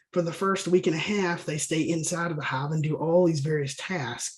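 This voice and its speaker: A high-pitched man with a Southern US accent, fairly even intonation and a moderate pace. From US South. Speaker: bee scientist and state apiary inspector. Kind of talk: webinar lecture. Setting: online webinar. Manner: casual, conversational with fillers.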